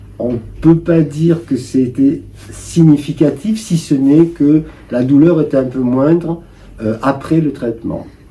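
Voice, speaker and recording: A very slow pace with ordinary pitch variation, set against noticeable background noise. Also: man, fairly high pitch for a man. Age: 70s. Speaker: cancer patient. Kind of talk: interview answer.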